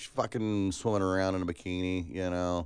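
A man with a very deep, low voice and an American accent, a moderate pace, and a quiet background. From California and Alabama. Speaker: podcast co-host. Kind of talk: casual chat.

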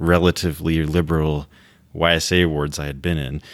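A man with a very deep, low pitch. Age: 30s. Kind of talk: casual panel discussion. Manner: halting.

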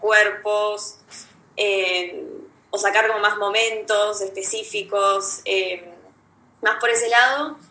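In a room with audible echo, a woman speaks with a fairly high pitch, a bright, sharp tone and fairly even intonation. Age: 20s. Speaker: photography student. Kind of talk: casual chat. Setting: video call.

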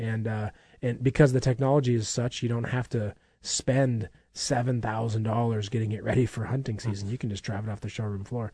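A man's somewhat breathy, medium-pitched voice at a fairly quick pace over a quiet background. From Minnesota. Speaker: radio show host for an outdoor supply store. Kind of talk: casual promotional radio chat.

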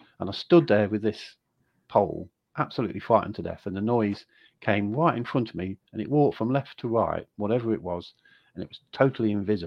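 Talking very fast with big swings in loudness, a man with an English accent uses a fairly low pitch and ordinary pitch variation. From England. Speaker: author. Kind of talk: casual interview. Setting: video call.

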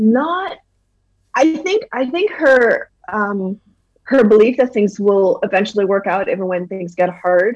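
Lively intonation marks a normal speaking voice that moves at a fairly slow pace. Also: woman, fairly high pitch for a woman. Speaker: novelist. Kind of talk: interview chat.

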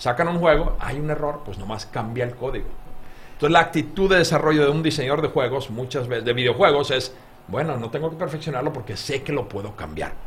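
This man talks at a very fast pace. His fairly high pitch shows ordinary pitch variation. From Finland. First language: Finnish (speaking Spanish). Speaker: game designer. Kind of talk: interview.

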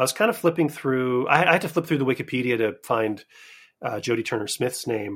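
An unremarkable speaking voice from a man at a medium pitch, fairly quick, with lively intonation, in a very clean recording with a silent background. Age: 20s. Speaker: podcaster and film fan. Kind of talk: casual chat.

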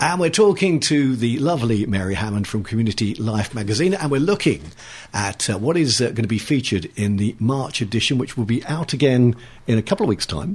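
Speaking at a fairly quick pace in a southern English accent, a man with a medium pitch and a somewhat breathy voice makes very wide pitch swings. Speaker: local radio host. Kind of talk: radio interview. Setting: studio. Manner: jovial.

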